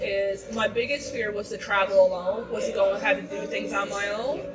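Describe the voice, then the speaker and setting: An animated voice at a moderate pace comes through audible room echo and noticeable background noise. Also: woman. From Newfoundland, Canada. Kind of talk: casual chat. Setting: restaurant.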